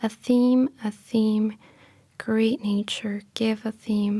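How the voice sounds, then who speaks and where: Soft-spoken woman at a very slow pace, fairly high in pitch, with a gentle tone and a dark, mellow tone. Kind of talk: poetry reading. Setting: studio, library room. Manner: soft-spoken, gentle.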